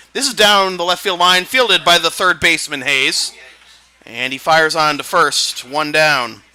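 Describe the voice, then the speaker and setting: Over music in the background, a man talks at a high pitch. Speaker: sportscaster. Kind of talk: baseball play-by-play commentary. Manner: excited.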